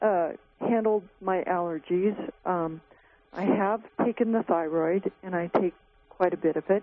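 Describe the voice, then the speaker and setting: A woman at medium pitch, fairly slow and fairly even, with long, frequent pauses and noticeable background noise. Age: 60s. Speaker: caller. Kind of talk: call-in question. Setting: phone call.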